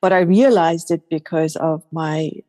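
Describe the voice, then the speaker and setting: A woman speaks with a dark, mellow tone at a fairly low pitch. Her intonation is fairly even, and the sound is dry and close with no echo. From Iran. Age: 60s. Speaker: life coach and podcast host. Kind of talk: interview conversation.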